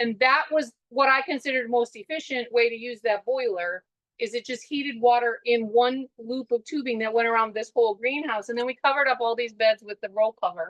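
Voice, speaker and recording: A woman with an American accent, high-pitched, talking at a fairly quick pace with hardly any pauses and fairly even intonation. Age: 60s. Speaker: farmer. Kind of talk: webinar walkthrough talk. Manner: conversational, with fillers.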